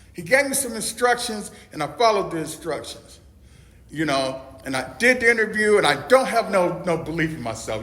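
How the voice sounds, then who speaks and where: An animated man speaks at a fairly quick pace with very wide pitch swings, in a room with audible echo and noticeable background noise. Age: 60s. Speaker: recovery meeting speaker, peer support specialist. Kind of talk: testimony.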